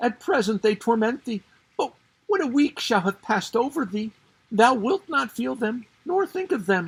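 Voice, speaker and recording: A put-on character voice speaks at a fairly high pitch and a moderate pace. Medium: read story. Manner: humble, deferential.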